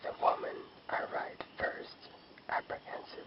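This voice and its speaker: Whispering, a man can be heard through noticeable background noise. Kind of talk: short story reading. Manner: whispered.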